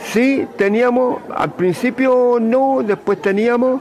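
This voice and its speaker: This voice carries a Chilean accent over noticeable background noise. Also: man. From Chile, San Bernardo. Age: 80s+. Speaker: elderly interviewee recalling the past. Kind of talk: interview. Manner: halting, frequent fillers.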